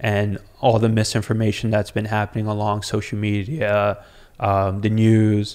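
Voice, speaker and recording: Against a quiet background, a man talks at a moderate pace with a fairly low pitch and monotone, flat intonation. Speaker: podcast guest. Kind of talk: interview answer. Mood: earnest, engaged. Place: studio. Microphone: studio mic.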